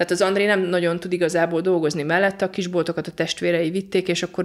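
On a very clean recording with a silent background, a woman with a fairly low pitch talks at a very fast pace with fairly even intonation. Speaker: volunteer aid worker. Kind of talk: interview.

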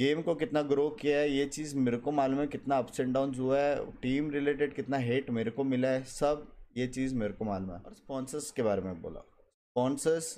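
A man talks at a moderate pace with hardly any pauses. His voice is fairly high in pitch, dark and mellow in tone, with ordinary pitch variation. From India. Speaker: gaming streamer. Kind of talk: explanatory monologue. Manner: animated. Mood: upset, defensive. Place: home room. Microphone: headset.

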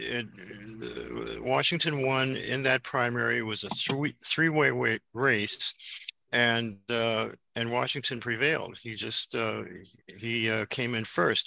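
A man with an American accent, very slow pace, long and frequent pauses, ordinary pitch variation, a bright, sharp tone, dry sound with no echo, and a quiet background. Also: medium pitch for a man. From Chicago South Side; Chicago. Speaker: activist. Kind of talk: panel discussion. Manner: halting. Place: home room. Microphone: video call.

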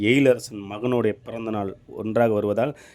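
With music in the background, a man speaks at a medium pitch in a monotone, flat intonation. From Tamil Nadu, Tiruvannamalai district. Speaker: drama troupe booking organizer. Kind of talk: announcement.

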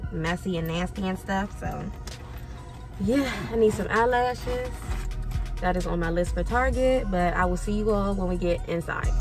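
Clear music plays behind a woman who talks at a moderate pace with long, frequent pauses, her voice dry with no echo. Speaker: vlogger. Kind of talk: casual vlog chat. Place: car. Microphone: phone near.

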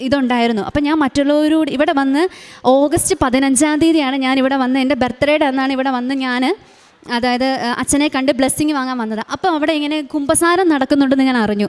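A woman's high voice, its intonation fairly even. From Kerala, Kannur district. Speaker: nurse giving a testimony. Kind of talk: testimony.

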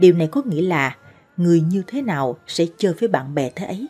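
A woman's fairly low voice at a fairly slow pace, with faint music in the background. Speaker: presenter. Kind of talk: narrated advice talk. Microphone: studio mic.

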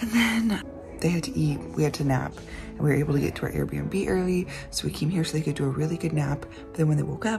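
A woman speaks at a very fast pace with clear music in the background. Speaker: family vlogger. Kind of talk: casual vlog chat. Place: home room. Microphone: phone near.

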